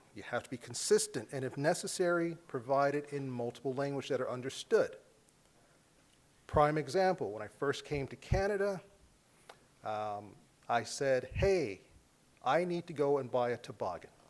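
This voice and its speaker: Speaking in an American accent at a moderate pace, a man with a fairly high pitch uses lively intonation and big swings in loudness, leaving long, frequent pauses. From US South. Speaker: public health official. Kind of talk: keynote speech. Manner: conversational.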